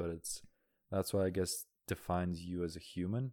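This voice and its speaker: A man with a Canadian accent, very deep and low in pitch, at a moderate pace on a very clean recording with a silent background. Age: 20s. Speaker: podcast guest. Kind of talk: casual chat. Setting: recorded on a laptop with playback. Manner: calm.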